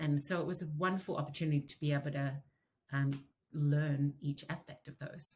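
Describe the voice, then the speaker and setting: A woman speaks in a very deep, low pitch, somewhat breathy. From outside the US. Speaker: TV writer. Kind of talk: interview.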